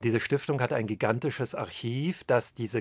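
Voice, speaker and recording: Here is a man with an ordinary speaking voice at a medium pitch, showing ordinary pitch variation. The sound is dry and close with no echo, on a very clean recording with a silent background. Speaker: historian. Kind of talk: interview.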